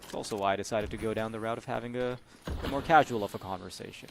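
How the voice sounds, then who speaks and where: Noticeable background noise sits under speech delivered very fast. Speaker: esports caster. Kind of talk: casual chat; live commentary.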